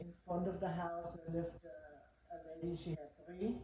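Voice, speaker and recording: A woman of medium pitch at a moderate pace, monotone, flat intonation, and audible room echo. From Germany. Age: 80s+. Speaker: interviewee. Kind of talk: interview.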